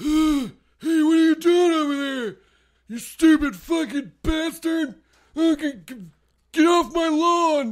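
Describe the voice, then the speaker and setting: A man does a put-on character voice at an extremely high pitch, moving at a fairly slow pace. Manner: angry, grumpy.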